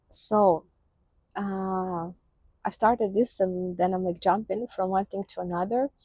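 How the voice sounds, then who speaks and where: A somewhat breathy woman's voice with fairly even intonation, dry and close with no echo. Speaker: vlogger. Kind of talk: casual vlog monologue. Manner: slow, hesitant with many fillers.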